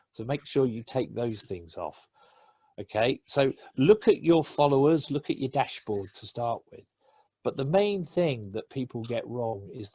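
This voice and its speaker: A somewhat breathy man with an English accent, medium pitch and a dark, mellow tone, at a fairly slow pace with very wide pitch swings, in a dry, close sound with no echo. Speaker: LinkedIn trainer. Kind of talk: webinar presentation.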